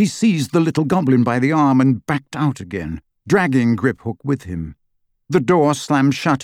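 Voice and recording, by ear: Against a quiet background, a text is read aloud in a natural voice.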